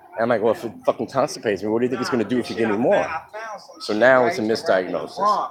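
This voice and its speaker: A man talks at a very fast pace with lively intonation. His pitch is medium, and there is noticeable background noise. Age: 50s. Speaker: vlogger telling his life story. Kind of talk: personal testimony monologue. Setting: outdoors in the sun. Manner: casual, conversational.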